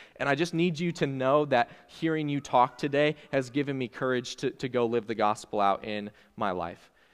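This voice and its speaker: Speaking at a moderate pace with hardly any pauses, a man uses medium pitch and ordinary pitch variation. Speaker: youth pastor. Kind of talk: sermon. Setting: church. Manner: loud talker.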